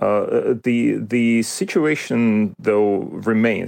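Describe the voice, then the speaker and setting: A man with a Russian accent, dry and close with no echo, over a quiet background. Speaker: history professor. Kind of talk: interview. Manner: halting, many fillers and repetitions.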